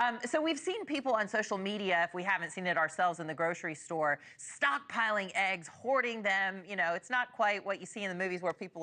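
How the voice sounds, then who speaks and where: With an American accent, a woman talks fairly quickly in a bright, sharp tone at a medium pitch, her pitch swinging very widely. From US South, the Carolinas. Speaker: TV news anchor. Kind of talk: TV news interview.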